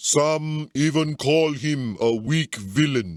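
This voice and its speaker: Putting on a character voice, a man uses a solemn tone at a fairly high pitch, captured in a dry, close sound with no echo. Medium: video game. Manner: solemn storytelling.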